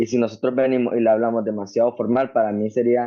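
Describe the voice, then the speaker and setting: Speaking at a very fast pace, a man with a strong Nicaraguan accent keeps a monotone, flat intonation. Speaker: Bible student. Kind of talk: class discussion.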